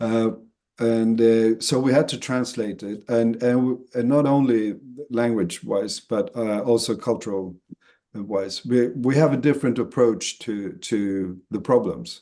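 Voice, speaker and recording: A man speaks with a Swedish accent at a medium pitch. His tone is dark and mellow, and his pace is fairly slow. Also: ordinary pitch variation. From Sweden. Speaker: association chief executive. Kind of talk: webinar interview. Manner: halting, many fillers and repeats.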